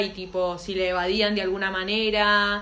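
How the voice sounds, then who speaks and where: A woman with a Rioplatense accent speaks at a moderate pace in a flat, monotone way, with noticeable background noise and audible room echo. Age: 20s. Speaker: podcast co-host. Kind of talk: casual chat.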